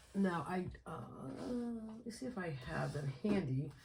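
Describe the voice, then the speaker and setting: A woman's voice is somewhat breathy. Her intonation is lively. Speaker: budgeting vlogger. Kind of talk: casual tutorial. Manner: halting, many fillers.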